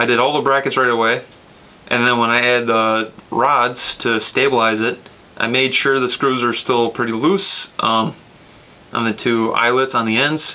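The man speaks at a fairly slow pace. His intonation stays fairly even. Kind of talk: tutorial. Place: workshop.

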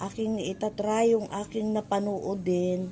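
There is a dark, mellow tone to this woman's somewhat breathy voice. She speaks at a very slow pace. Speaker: home gardening vlogger. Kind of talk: casual tutorial vlog. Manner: conversational, hesitant.

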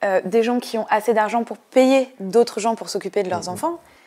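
Moderate pace and ordinary pitch variation from a woman's voice. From eastern France, Ain; eastern France. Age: 20s. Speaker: political activist and candidate; election candidate. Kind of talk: interview; interview answer. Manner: hesitant, many filler sounds. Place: studio. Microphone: lapel.

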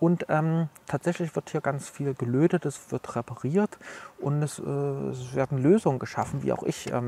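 A man speaks at a moderate pace with a fairly high pitch and ordinary pitch variation. His tone is dark, mellow and somewhat breathy, recorded dry and close with no echo. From Leipzig, eastern Germany. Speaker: author and computer history collector. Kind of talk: casual interview. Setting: outdoors in front of a cultural hall.

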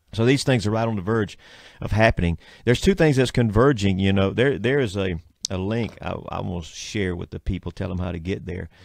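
On a very clean recording with a silent background, a man with a Southern US accent talks at a fairly quick pace in a fairly low pitch with ordinary pitch variation. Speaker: radio show host, preacher. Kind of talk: religious talk radio chat.

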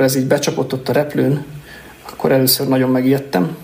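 Over noticeable background noise, a man at medium pitch talks at a fairly quick pace. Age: 30s. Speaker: agile coach. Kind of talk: casual chat. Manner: halting.

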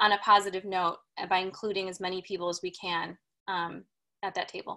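A woman's bright, sharp tone at medium pitch, with monotone, flat intonation and a quiet background. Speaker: film director. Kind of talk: panel Q&A. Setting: video call. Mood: reflective, earnest. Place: home room. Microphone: video call.

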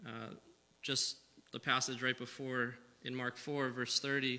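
A bright, sharp tone marks the man's voice. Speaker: preacher. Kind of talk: sermon. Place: church. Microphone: podium.

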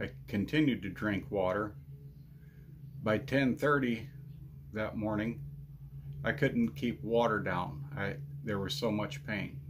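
A man's fairly low voice with vocal fry and very wide pitch swings, very slow pace with long, frequent pauses, over noticeable background noise. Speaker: ranch vlogger. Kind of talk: casual vlog chat. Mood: earnest, recounting painful ordeal. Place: home room. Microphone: phone near.

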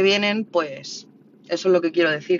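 Someone with a Madrid accent speaks over noticeable background noise. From Spain, Madrid (Orcasur, south Madrid). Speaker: livestreamer. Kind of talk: casual livestream chat reading viewer comments.

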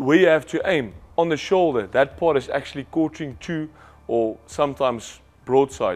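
Speaking at a moderate pace, a man is heard. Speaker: presenter. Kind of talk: instructional presentation. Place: studio. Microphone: lapel.

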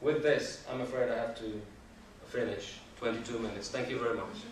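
Delivered at a fairly quick pace with fairly even intonation, the speech carries audible room echo. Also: man, medium pitch for a man.

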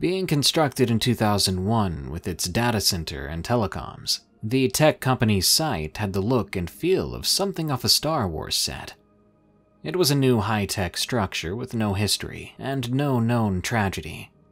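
A man's fairly low voice with very wide pitch swings, music playing in the background. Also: moderate pace. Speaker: story narrator. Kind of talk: horror story narration.

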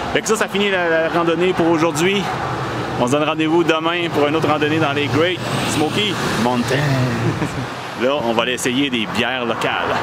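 A man speaks with long, frequent pauses. Loud background noise runs throughout. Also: ordinary pitch variation, moderate pace. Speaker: hiking vlogger. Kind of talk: casual vlog chat. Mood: happy, relaxed after hike. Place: street. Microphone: phone near.

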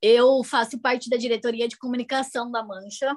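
A woman's fairly high voice at a moderate pace against a quiet background. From Brazil, Campinas region; Brazil. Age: 20s. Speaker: au pair; guest. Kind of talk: interview. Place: home room. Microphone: video call.

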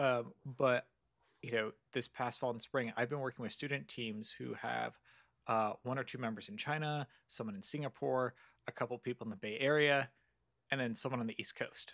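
In a quiet background, a man speaks with fairly even intonation. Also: medium pitch for a man, moderate pace. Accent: Californian. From Southern California. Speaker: computer science lecturer. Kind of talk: interview conversation. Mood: friendly, engaged. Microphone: studio mic.

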